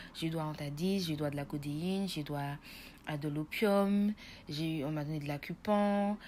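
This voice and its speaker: In a very clean recording with a silent background, a woman with a very deep, low pitch and a dark, mellow tone speaks at a moderate pace with ordinary pitch variation. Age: 20s. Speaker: nursing student giving patient testimony. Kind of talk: testimony.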